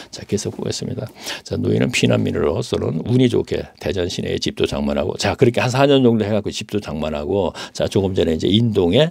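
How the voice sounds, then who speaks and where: A man with a fairly low pitch and vocal fry swings his pitch very widely, in a dry, close sound with no echo. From South Korea, Daejeon. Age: 70s. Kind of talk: testimony. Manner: halting, with fillers.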